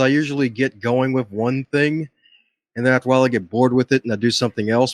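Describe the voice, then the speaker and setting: Speaking at a very fast pace, a man with a medium-pitched voice comes through with a dry, close sound and no echo. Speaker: motivational speaker and podcast host. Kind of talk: interview. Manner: calm and soothing.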